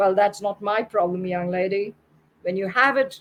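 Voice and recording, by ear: Aloud reading in a natural voice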